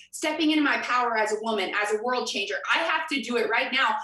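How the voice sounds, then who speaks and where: A woman's raised, projected voice in a Midwestern US accent, animated in tone with lively intonation and a fairly quick pace, amid audible room echo and noticeable background noise. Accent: General American (Midwestern). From US Midwest, Kansas City. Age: 20s. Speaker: motivational speaker. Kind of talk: convention breakout talk.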